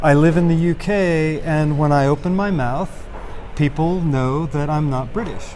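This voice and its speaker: Amid noticeable background noise and audible room echo, a man with an American accent speaks at a fairly high pitch with fairly even intonation. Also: moderate pace. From United States. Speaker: ESL textbook writer. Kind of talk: interview.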